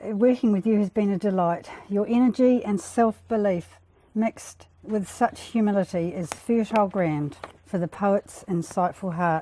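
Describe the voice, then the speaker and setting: Here a woman speaks with an Australian accent. Her pitch variation is ordinary. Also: medium pitch for a woman, moderate pace. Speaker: book launch speaker. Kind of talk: speech. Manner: soft-spoken.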